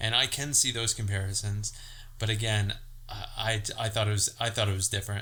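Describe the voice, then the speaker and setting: The man's tone is bright and sharp. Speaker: movie podcast co-host. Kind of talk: casual chat. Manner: halting.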